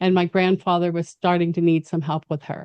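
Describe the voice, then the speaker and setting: In a quiet background with a dry, close sound and no echo, a woman with a plain, everyday voice speaks at medium pitch with fairly even intonation. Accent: American. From Mexico City and US. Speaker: gerontology expert. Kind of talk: interview.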